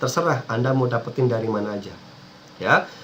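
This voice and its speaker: Racing at a very fast pace, a man keeps fairly even intonation over noticeable background noise. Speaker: internet marketing coach. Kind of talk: tutorial.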